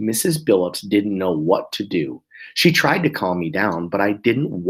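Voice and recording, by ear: The words are read out loud in a natural voice.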